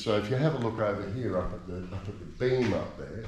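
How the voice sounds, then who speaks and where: A man with an Australian accent, with audible room echo. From Australia, Queensland. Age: 60s. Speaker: voice-over artist. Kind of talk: casual chat. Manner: halting.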